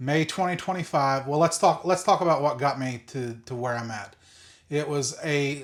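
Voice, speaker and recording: With a normal speaking voice, a man talks at a moderate pace, pitched fairly high, with ordinary pitch variation. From West Virginia (Greenbrier County). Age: 40s. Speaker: content creator documenting weight loss. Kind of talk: casual vlog monologue. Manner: unscripted, with fillers and restarts.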